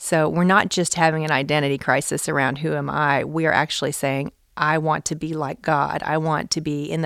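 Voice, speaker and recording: With vocal fry and a very deep, low pitch, a woman talks fairly quickly with hardly any pauses in a monotone, flat intonation. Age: 40s. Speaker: author and Bible teacher. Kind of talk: interview. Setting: at a church event.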